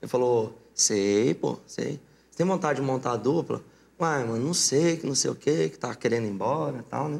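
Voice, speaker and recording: With lively intonation, a man speaks in an ordinary speaking voice at medium pitch and a moderate pace. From Mato Grosso, Brazil (born in Paraná). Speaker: sertanejo singer. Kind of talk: casual interview.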